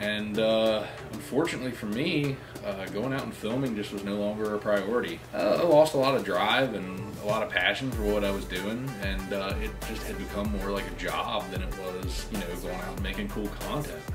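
A man talking at a moderate pace over clear music in the background. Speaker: car content creator. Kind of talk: casual vlog chat. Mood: reflective, somewhat somber. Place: home room.

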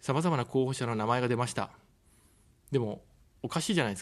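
The background is quiet. Pitch shifts in an ordinary way. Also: man. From Tokyo. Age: 40s. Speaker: political candidate, former journalist; candidate, former journalist. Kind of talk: campaign broadcast speech. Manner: formal. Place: studio. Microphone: studio mic.

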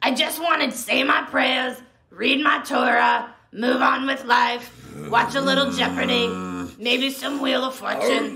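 A woman with a high-pitched voice speaks at a moderate pace. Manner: scolding, chatty, unafraid.

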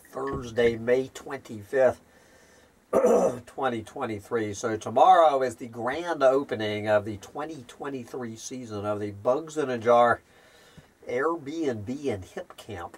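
A man speaks at a very slow pace, his loudness swinging widely while his pitch varies in an ordinary way. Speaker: channel host. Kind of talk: casual vlog chat. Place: home room. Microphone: camera far.

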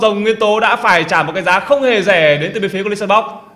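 A man speaks in a raised, projected voice at a very fast pace, with ordinary pitch variation and noticeable background noise. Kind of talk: esports commentary. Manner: fluent, lively play-by-play.

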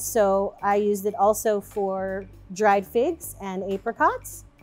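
A woman speaks with faint music in the background. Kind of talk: cooking tutorial. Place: kitchen.

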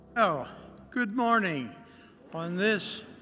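A bright, sharp tone with very wide pitch swings. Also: man. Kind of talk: liturgical welcome and call to worship. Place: church. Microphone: podium.

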